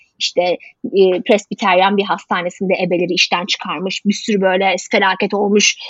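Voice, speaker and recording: A woman's medium-pitched voice at a moderate pace, monotone and flat in intonation. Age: 30s. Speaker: health journalist. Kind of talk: casual interview. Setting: video call.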